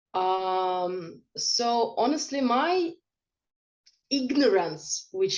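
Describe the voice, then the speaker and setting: A woman speaks with a Russian accent. Her intonation is lively. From Russia, Krasnodar Krai. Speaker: interviewee. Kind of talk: interview. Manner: halting.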